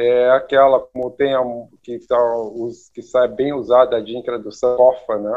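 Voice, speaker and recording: This man talks at a fairly slow pace, medium in pitch, with monotone, flat intonation. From Brazil, Rio Grande do Sul (Santa Maria). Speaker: architect. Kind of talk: interview. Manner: halting, many repetitions.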